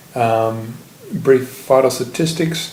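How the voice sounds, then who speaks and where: A man talks with an Australian accent. Noticeable background noise runs beneath him. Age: 20s. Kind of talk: casual video diary.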